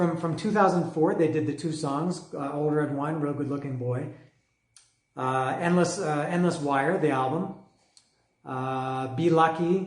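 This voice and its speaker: The speech comes at a fairly slow pace with audible room echo. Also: man. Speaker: music reviewer. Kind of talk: casual monologue review. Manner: halting, many fillers.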